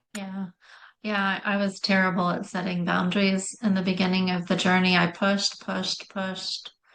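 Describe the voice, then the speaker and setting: Monotone, flat delivery at a moderate pace. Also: woman, medium pitch for a woman. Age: 60s. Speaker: Lyme disease survivor, health practitioner. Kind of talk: casual chat.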